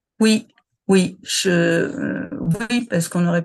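In a quiet background, a woman speaks with a fairly low, somewhat breathy voice and ordinary pitch variation. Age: 60s. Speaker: retiree, former HR manager. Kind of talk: personal testimony interview. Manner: hesitant, many fillers and repetitions.

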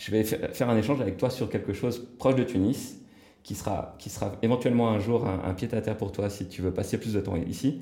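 A man with a dark, mellow, somewhat breathy tone speaks at a fairly quick pace, his medium pitch moving with ordinary variation. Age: 40s. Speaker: real estate developer and entrepreneur. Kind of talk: casual interview. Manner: hesitant, many filler words.

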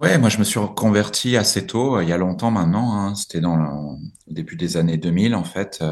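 Lively in intonation, a man speaks at a fairly low pitch against a quiet background. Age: 40s. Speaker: executive of a nonprofit group. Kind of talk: interview. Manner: halting, with many repetitions and fillers.

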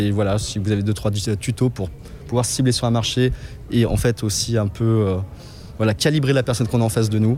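This man has a normal speaking voice and talks at a fairly quick pace. His loudness stays very even. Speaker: event attendee asking a question. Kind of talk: recorded question at an event.

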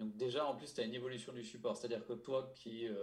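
Amid audible room echo, a somewhat breathy man with a medium pitch speaks at a fairly quick pace with ordinary pitch variation. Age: 30s. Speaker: motorcycle journalist. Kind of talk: casual chat.

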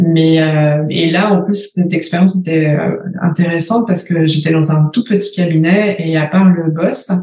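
At a fairly slow pace, a woman speaks in a fairly low, somewhat breathy voice with a dark, mellow tone and fairly even intonation. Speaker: business coach for women entrepreneurs. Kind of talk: interview conversation.

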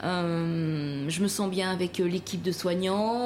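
Her intonation remains fairly even. Noticeable noise sits in the background while this woman talks. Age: 40s. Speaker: pastry chef. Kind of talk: interview.

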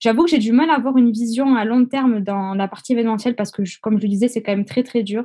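Over a quiet background, a woman with a fairly high pitch and a dark, mellow tone speaks very fast with fairly even intonation. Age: 20s. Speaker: event decorator. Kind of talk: interview.

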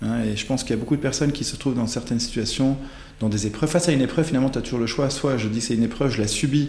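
A man talks at a very fast pace. Audible room echo and noticeable background noise surround his voice. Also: medium pitch for a man, fairly even intonation. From Belgium (born in Ghent). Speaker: coach and writer. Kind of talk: interview conversation. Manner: hesitant, many fillers.

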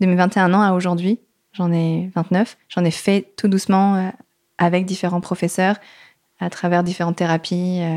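This woman's pitch is medium. She speaks at a moderate pace. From Paris region, France. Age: 20s. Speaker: dance teacher. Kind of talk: interview. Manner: hesitant, many fillers.

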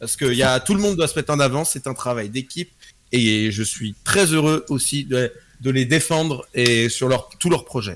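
Moderately paced, a man's unremarkable speaking voice sits at a medium pitch and moves with lively intonation. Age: 20s. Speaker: streamer. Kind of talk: casual chat.

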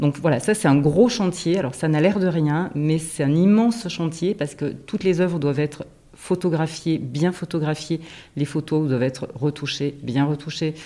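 A woman's very deep, low voice with a dark, mellow tone, ordinary pitch variation and a moderate pace. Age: 50s. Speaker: guesthouse director, former teacher. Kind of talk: interview. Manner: halting, with frequent repetitions and fillers.

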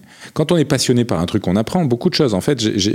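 The recording is very clean with a silent background as a man speaks. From southern France. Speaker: entrepreneur and investor. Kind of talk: interview. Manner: halting, many hesitations.

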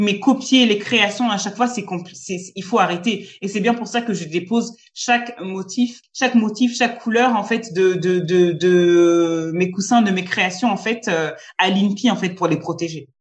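Somewhat breathy, a woman speaks at a medium pitch and a fairly slow pace with ordinary pitch variation and hardly any pauses. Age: 30s. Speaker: entrepreneur. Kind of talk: interview. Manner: halting, frequent repetitions.

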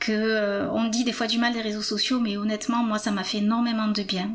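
Noticeable background noise sits behind a woman's fairly high voice. She speaks at a fairly quick pace with monotone, flat intonation. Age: 50s. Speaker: patient sharing testimony. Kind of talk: testimony. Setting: at home.

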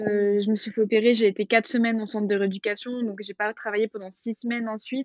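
The delivery is very fast, with hardly any pauses and monotone, flat intonation. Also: woman, fairly high pitch for a woman. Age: 20s. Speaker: osteopath. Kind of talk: casual interview. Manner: hesitant, many fillers.

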